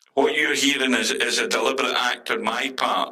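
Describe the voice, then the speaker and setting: Speaking fairly slowly, a man talks with a Scottish accent. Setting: voice modifier on, split stereo.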